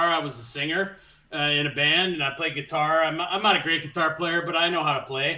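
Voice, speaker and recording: Loud and at a very fast pace, the speaker talks with an American accent over noticeable background noise. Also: man. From US Midwest, Minnesota. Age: 40s. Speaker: guest gamer, musician. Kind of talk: casual chat.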